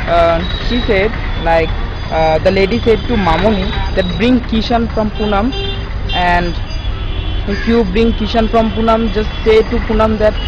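A man talks at a moderate pace in a dry, echo-free sound, with clear music playing behind him. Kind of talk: casual vlog chat. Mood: concerned, earnest. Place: street. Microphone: phone near.

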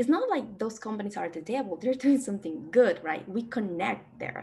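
A woman with a Spanish accent speaks at a fairly high pitch with lively intonation. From Peru. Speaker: data expert and alumni presenter; presenter. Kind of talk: conference presentation.

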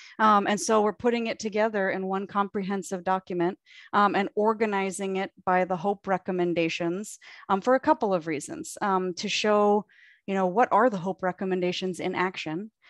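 Over a quiet background, a woman talks at a moderate pace with ordinary pitch variation in a dry sound with no echo. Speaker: county staff facilitating an advisory board meeting. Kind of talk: public board meeting. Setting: video call. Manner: friendly, organized facilitator. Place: home room. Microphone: video call.

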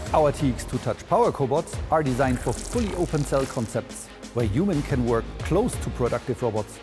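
A man talks at a moderate pace. Clear music runs underneath him. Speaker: presenter. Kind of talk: corporate product presentation. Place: hall. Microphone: lapel.

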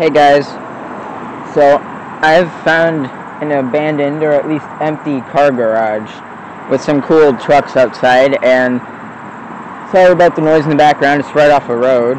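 Against noticeable background noise, a man speaks at a fairly slow pace with fairly even intonation and long, frequent pauses, the sound dry with no echo. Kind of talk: casual vlog chat. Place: open country. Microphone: phone near.

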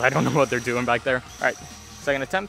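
Faint music plays in the background while a man speaks, the sound dry with no echo. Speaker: toy blaster reviewer. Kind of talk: casual review vlog chat. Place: garden.

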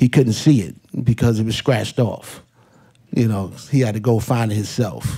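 With a New York accent, a man talks at a moderate pace in a somewhat breathy voice with fairly even intonation over a quiet background. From New York, Hollis, Queens. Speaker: hip hop DJ and producer; hip hop DJ. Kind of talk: panel talk. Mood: relaxed, reminiscing. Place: hall. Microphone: podium.

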